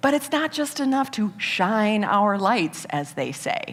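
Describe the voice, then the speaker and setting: Her voice fairly high and her tone animated, a woman with an American accent speaks at a moderate pace with very wide pitch swings. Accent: Midwest, stronger when excited. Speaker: business speaker. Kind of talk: TEDx talk. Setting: stage with audience.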